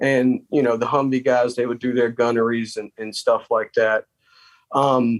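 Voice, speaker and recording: A man speaks at a moderate pace with a Southern US accent, his intonation monotone and flat. The sound is dry and close, with no echo. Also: medium pitch for a man. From South Carolina. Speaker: army veteran. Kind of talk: interview. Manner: halting.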